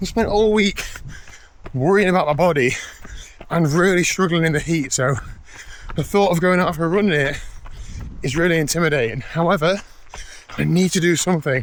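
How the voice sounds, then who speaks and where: A man with an English accent and a high pitch talks at a fairly quick pace, with ordinary pitch variation and very even loudness. He leaves long, frequent pauses, and there is noticeable background noise. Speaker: triathlete vlogger. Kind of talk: casual vlog. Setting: outdoors.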